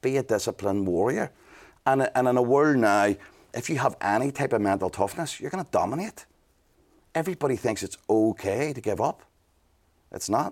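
An energetic male voice of medium pitch, with lively intonation, a fairly quick pace and long, frequent pauses on a very clean recording with a silent background. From Northern Ireland, Belfast. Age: 40s. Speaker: business mentor and entrepreneur. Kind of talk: casual interview.

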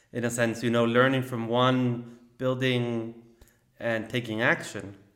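In a room with audible echo, a man at medium pitch speaks very slowly in a flat monotone, leaving long, frequent pauses. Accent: Spanish. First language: Spanish. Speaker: podcast host. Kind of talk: interview.

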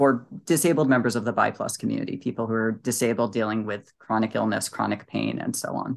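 Speaking fairly quickly with hardly any pauses, a man shows vocal fry, a medium pitch and ordinary pitch variation. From New England. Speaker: nonprofit board president. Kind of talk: interview.

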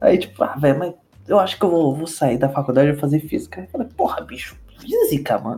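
Over music in the background, a man with a fairly high pitch talks at a fairly quick pace with lively intonation. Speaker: podcast co-host, university student. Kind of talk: casual chat.

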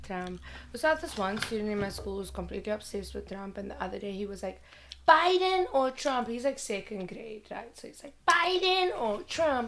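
An animated woman with fairly high pitch, very wide pitch swings, big swings in loudness and a moderate pace, amid noticeable background noise. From South Africa. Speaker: kindergarten teacher. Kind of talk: casual chat.

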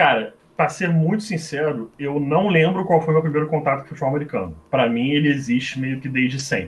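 A somewhat breathy man speaks at a fairly quick pace with hardly any pauses, using a fairly high pitch and ordinary pitch variation. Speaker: former American football quarterback and game commentator. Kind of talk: casual chat.

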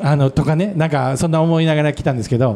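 A man with a Kansai accent and a fairly high pitch. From Wakayama, Japan. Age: 50s. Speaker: restaurant owner. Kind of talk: casual chat. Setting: public recording with audience.

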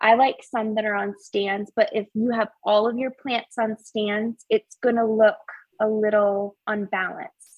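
Fairly high in pitch, a woman speaks with an American accent at a fairly slow pace. It is an ordinary speaking voice with fairly even intonation. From upstate New York. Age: 20s. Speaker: plant enthusiast and home-design guest. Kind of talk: casual chat.

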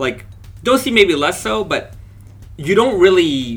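Loud and at a fairly slow pace, a man speaks with vocal fry. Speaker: fashion brand founder. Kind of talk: interview. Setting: on location at the guests' base. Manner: clear articulation.

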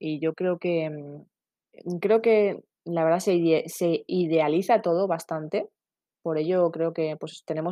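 A woman speaks at a fairly low pitch. Her pace is fairly slow. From Basque Country, Spain (San Sebastián). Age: 30s. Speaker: podcast host, parenting blogger. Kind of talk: solo podcast monologue. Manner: halting, many fillers.

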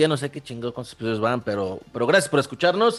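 A man with a Mexican accent speaks at a medium pitch with lively intonation. Noticeable background noise runs under his voice. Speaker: podcast co-host. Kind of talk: casual chat.

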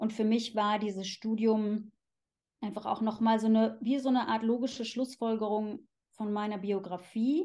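Fairly high in pitch, a woman speaks at a moderate pace with a dark, mellow tone and fairly even intonation. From Germany, Cologne. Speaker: sexologist. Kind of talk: casual interview.

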